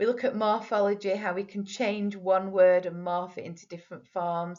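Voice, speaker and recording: A woman with a northern English accent, medium-pitched, at a fairly slow pace with fairly even intonation. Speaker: teacher and spelling scheme creator. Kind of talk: presentation for parents. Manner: explanatory, clear.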